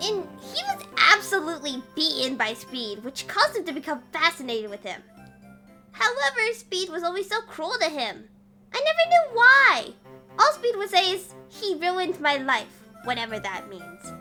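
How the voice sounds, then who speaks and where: A female-sounding put-on character voice speaks at a moderate pace, pitched extremely high with very wide pitch swings. Faint music plays in the background. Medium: dub.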